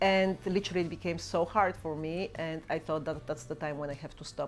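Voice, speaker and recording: A woman speaks with a Bulgarian accent. Music plays in the background. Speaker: YouTuber and mother. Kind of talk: Q&A vlog.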